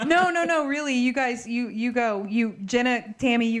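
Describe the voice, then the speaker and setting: With an animated tone, a woman speaks at a fairly high pitch over noticeable background noise. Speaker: podcast host. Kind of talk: casual chat.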